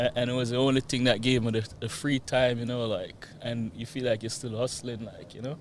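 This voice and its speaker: A man at a medium pitch talks at a fairly quick pace with hardly any pauses, his intonation monotone and flat while his loudness swings widely. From Jamaica. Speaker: real estate investor. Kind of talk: interview.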